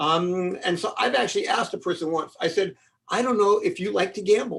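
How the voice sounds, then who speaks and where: The speaker talks at a fairly quick pace with an American accent. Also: man. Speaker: law professor and mediation expert. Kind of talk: webinar lecture. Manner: fast.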